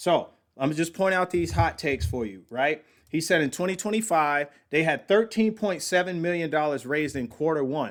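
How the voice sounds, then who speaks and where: A man with a fairly high pitch and lively intonation speaks at a moderate pace on a very clean recording with a silent background. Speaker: podcast host reacting to company video. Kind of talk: casual commentary on a played video. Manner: loud, high-energy.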